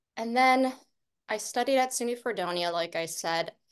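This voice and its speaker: A woman with an American accent and vocal fry, speaking at a fairly slow pace with ordinary pitch variation against a quiet background. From Western New York (Eden, near Buffalo). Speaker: film director and writer. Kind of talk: interview.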